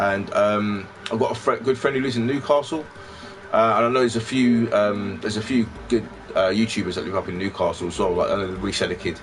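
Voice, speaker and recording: The speaker goes at a very fast pace with ordinary pitch variation while music plays in the background. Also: man, medium pitch for a man. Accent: London. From London (Peckham). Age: 30s. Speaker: retro gaming YouTuber. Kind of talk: casual live stream chat. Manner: rambling with many fillers.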